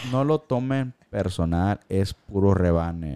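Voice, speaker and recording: A man speaks very deep and low, in a dark, mellow tone with lively intonation. The sound is dry and close, with no echo. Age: 40s. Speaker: podcast host. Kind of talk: casual chat. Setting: live stream. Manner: animated.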